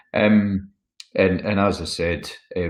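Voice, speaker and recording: A man speaks with a Scottish accent and a somewhat breathy voice. The background is quiet. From Scotland. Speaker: wealth management consultant. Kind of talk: webinar presentation. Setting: webinar.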